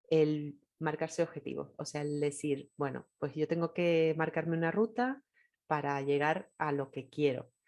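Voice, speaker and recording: In a Canarian accent, a woman with a very deep, low pitch speaks at a fairly slow pace. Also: fairly even intonation. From Canary Islands, Tenerife. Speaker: podcast host, writer. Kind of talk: podcast interview.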